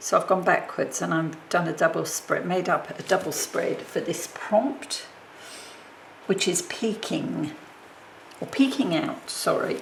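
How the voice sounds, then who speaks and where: Mumbling speech comes at a fairly slow pace over noticeable background noise. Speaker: papercraft video maker. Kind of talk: crafting tutorial.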